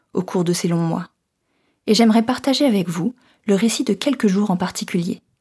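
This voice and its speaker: With a dark, mellow tone, a woman's voice comes across as somewhat breathy. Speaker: student. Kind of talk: reading a letter aloud.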